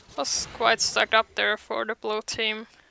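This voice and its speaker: The sound is dry and close with no echo, and noticeable background noise runs under it. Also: woman. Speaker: esports-style game commentator (shoutcaster). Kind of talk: live game shoutcasting commentary.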